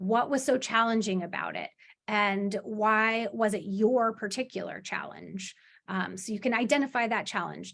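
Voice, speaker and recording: This woman has an unremarkable speaking voice of medium pitch. She keeps a moderate pace with fairly even intonation. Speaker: workshop trainer. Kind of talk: workshop presentation.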